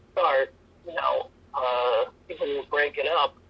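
Over noticeable background noise, a man with an American accent talks fairly slowly. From US East Coast, DC area / Northern Virginia. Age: 50s. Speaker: martial arts instructor. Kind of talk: casual interview.

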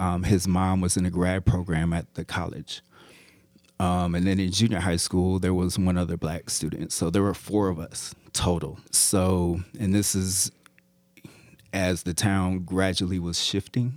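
A man with an American accent speaks at a very deep, low pitch and a fairly slow pace. His intonation is fairly even in a very clean recording with a silent background. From Iowa, US Midwest. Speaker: professor and sound designer. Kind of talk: casual interview.

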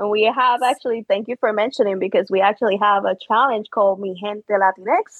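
Speech moves at a fairly quick pace with hardly any pauses. The intonation stays fairly even, with a Spanish accent. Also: woman, fairly high pitch for a woman. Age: 30s. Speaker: social media community co-founder, military veteran. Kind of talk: casual chat. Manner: quiet.

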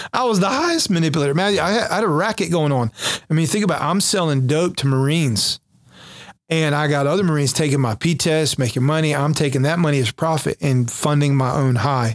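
Very fast American-accented speech with ordinary pitch variation and very even loudness. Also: man, fairly high pitch for a man. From North Carolina, Jacksonville area. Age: 40s. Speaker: pastor, recovering addict, former Marine. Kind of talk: testimony.

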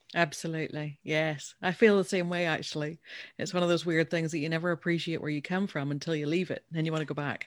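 Very fast, monotone speech with flat intonation in a Northern Irish accent. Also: woman, fairly low pitch for a woman. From Northern Ireland. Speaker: business owner and founder. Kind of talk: casual interview.

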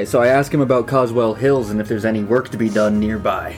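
Gruff and very fast, a man performs a put-on character voice at a medium pitch. Clear music plays in the background. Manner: gruff at the end of the line.

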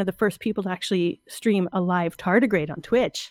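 A woman speaks with lively intonation. The sound is dry and close, with no echo. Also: very clean recording, silent background. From Ontario, Canada. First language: French. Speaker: artist and science communicator. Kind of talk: interview.

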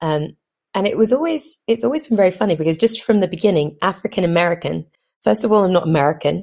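A woman with an English accent talks very fast with vocal fry and lively intonation. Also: very clean recording, silent background. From London, England. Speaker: actress. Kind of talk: personal monologue. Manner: hesitant, many fillers.

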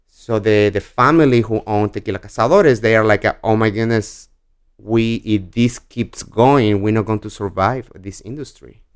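In a Mexican accent, a man speaks at medium pitch and a moderate pace with fairly even intonation. The recording is very clean, with a silent background. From Mexico. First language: Spanish. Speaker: spirits brand ambassador. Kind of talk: casual interview.

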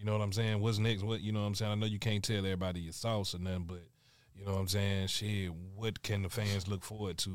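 A man speaks at a fairly quick pace in a fairly low voice. His delivery is monotone and flat, and the recording is very clean with a silent background. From US South, Alabama. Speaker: podcast co-host. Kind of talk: casual chat.

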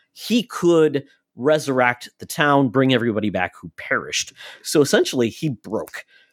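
An ordinary speaking voice with lively intonation comes through in a dry, close sound with no echo on a very clean recording with a silent background. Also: man. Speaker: podcast co-host. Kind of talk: casual chat.

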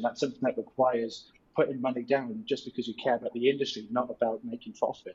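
A man talks very fast in a somewhat breathy voice. He has a medium pitch with ordinary pitch variation. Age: 20s. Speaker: startup founder. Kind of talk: casual interview. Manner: talkative, many fillers.

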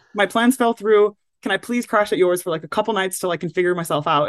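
Very fast and with lively intonation, a woman talks in a dry, close sound with no echo. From England. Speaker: full-time traveller and travel content creator. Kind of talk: casual interview.

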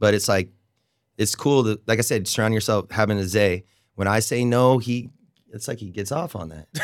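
The recording is very clean, with a silent background. A man with an American accent talks at a moderate pace and fairly low pitch, with ordinary pitch variation. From Oregon. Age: 30s. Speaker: hospitality manager. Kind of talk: casual chat. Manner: hesitant, many fillers.

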